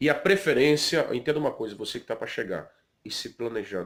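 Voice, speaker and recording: A man with a Brazilian accent, lively in intonation, at a moderate pace. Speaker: pastor and vlogger. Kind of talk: informal advice vlog. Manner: conversational, with many fillers.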